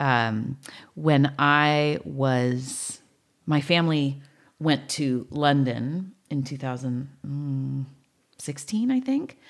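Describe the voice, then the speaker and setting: The speaker talks at a very slow pace with an American accent. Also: woman, very deep, low pitch for a woman, ordinary pitch variation. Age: 40s. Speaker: podcast host and producer. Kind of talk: casual interview chat; scripted narration. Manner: hesitant, many fillers.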